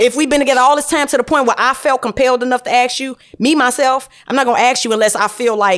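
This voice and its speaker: A woman speaks at a very fast pace in a high voice with ordinary pitch variation and an American accent. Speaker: podcast co-host. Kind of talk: casual chat.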